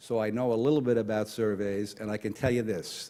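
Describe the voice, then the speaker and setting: A man with a New York accent talks at a fairly quick pace. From New York (Brooklyn). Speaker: retired Marine officer and conference speaker. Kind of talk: conference talk. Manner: fast.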